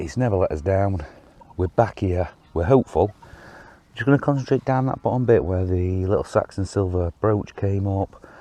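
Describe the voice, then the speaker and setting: A man with an English accent, fairly low pitch, ordinary pitch variation and a moderate pace. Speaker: metal detecting vlogger. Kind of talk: outdoor vlog narration. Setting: outdoors in a field. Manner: casual, filler-heavy.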